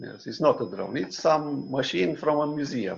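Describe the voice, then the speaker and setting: This man's voice sits fairly high in pitch. Vocal fry runs through it. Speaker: author. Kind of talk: book presentation. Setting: video call. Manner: halting.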